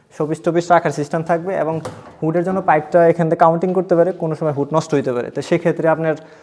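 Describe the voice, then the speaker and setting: With noticeable background noise behind him, a man speaks at a high pitch in a monotone, flat intonation. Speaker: furniture designer showing his work. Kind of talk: product showcase tour.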